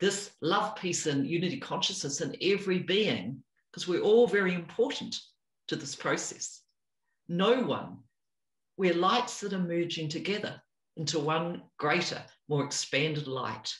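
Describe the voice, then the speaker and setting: A woman with a New Zealand accent speaks at a moderate pace in a fairly low, somewhat breathy voice with lively intonation. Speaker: spiritual teacher. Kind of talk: interview.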